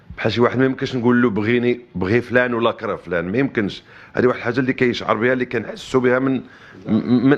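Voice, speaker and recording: Here a man talks very fast. His pitch is medium. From Morocco. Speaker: interviewee on politics. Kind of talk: interview answers. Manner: halting, many repeated words.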